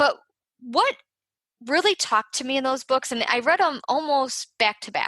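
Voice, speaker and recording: Raising and projecting her high-pitched voice, a woman speaks at a moderate pace with a bright, sharp tone, ordinary pitch variation and long, frequent pauses, the sound dry and close with no echo. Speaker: podcast host, nurse turned health writer. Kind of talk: solo podcast talk. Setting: live on Facebook while recording podcast.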